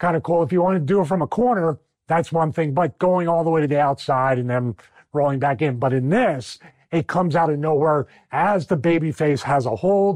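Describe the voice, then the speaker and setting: A man with a Philadelphia accent, an animated, enthusiastic tone, fairly high pitch, ordinary pitch variation, fairly quick pace, very even loudness, and a dry, close sound with no echo. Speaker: wrestling commentator and podcast host. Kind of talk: wrestling analysis breakdown, solo monologue.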